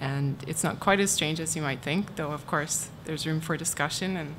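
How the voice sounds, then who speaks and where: Audible room echo surrounds the voice. A woman is soft-spoken. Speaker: university archivist. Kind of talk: conference talk.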